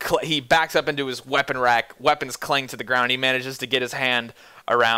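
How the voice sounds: The clip carries a natural reading voice with fairly even intonation.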